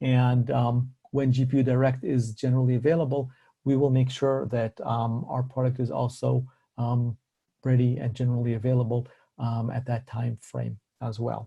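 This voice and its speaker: In a monotone, flat delivery, a man speaks at a medium pitch with a dark, mellow tone that is somewhat breathy. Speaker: tech company executive presenting. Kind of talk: webinar presentation. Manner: fast.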